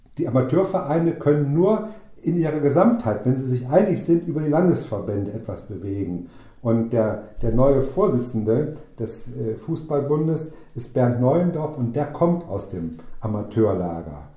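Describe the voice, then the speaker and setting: The room echo is audible as a man speaks at a moderate pace, his pitch medium with very wide swings. His tone is dark and mellow, with vocal fry. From northern Hesse, Germany (Waldeck-Frankenberg district). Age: 60s. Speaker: amateur football club chairman and former mayor. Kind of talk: interview conversation. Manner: hesitant, with frequent fillers.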